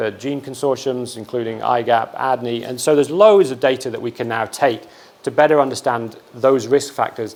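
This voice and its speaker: Here is a man with an American accent at medium pitch. He keeps a moderate pace and ordinary pitch variation. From England. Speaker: research scientist. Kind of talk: lecture. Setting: seminar room with audience. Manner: hesitant with frequent repetitions.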